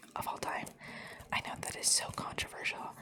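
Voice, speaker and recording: A woman's whisper at a moderate pace, amid noticeable background noise. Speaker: ASMR creator. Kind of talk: ASMR rambling, showing items. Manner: whispered.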